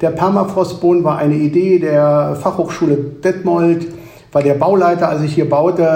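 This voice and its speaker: Over noticeable background noise and audible room echo, a man with a high pitch talks at a moderate pace with fairly even intonation. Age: 70s. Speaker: managing director of an ice cream company. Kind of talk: interview.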